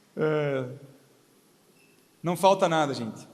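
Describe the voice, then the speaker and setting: With audible room echo around him, a man speaks at a very slow pace using lively intonation. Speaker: pastor. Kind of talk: sermon. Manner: not shouting, calm.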